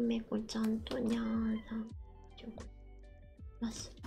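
Clear music plays behind a woman with a fairly high pitch. She speaks at a very slow pace in a monotone, flat intonation. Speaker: digital artist and streamer. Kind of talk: casual livestream talk while drawing.

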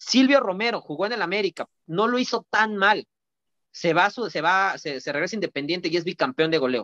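In a quiet setting, a man speaks at a fairly quick pace with a raised, projected voice. His high pitch, lively intonation and bright, sharp tone stand out. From Mexico. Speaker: social media football commentator. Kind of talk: casual chat. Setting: online call. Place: home room. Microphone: video call.

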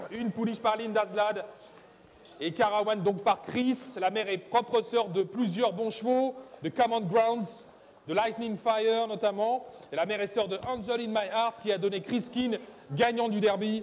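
A man's high-pitched voice, fairly slow, with fairly even intonation and long, frequent pauses. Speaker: auctioneer. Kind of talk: live auction calling.

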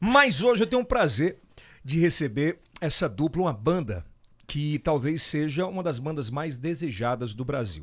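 In an animated tone, a man speaks at a moderate pace with a fairly high pitch and very wide pitch swings over a quiet background. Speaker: podcast host. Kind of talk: casual chat. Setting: studio. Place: studio. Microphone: studio mic.

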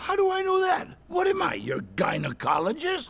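A man shouts at a moderate pace in an extremely high voice. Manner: irritable, crude.

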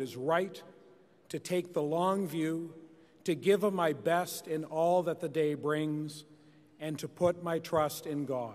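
A man speaks in an unremarkable speaking voice at a fairly high pitch. His pace is fairly slow and his intonation fairly even. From Canada. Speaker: party official. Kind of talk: formal speech. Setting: stage with audience. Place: hall. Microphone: podium.

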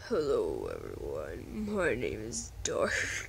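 Using a put-on character voice, a man speaks very slowly. Clear background noise sits behind him.

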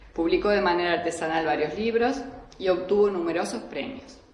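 A woman with a medium-pitched voice and lively intonation speaks over noticeable background noise. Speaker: event host and interviewer. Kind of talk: interview, conversational.

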